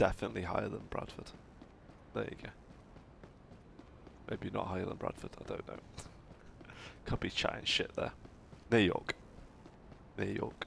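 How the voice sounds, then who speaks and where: A man at a moderate pace with long, frequent pauses amid noticeable background noise. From northern England. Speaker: video game streamer. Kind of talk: live gameplay commentary. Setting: live stream. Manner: animated.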